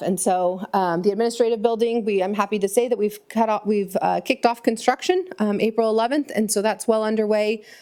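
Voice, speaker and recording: Her tone is dark and mellow, her pitch medium, and her intonation fairly even. The woman moves at a fairly quick pace. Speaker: transit agency staff presenter. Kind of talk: public meeting budget presentation. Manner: fast.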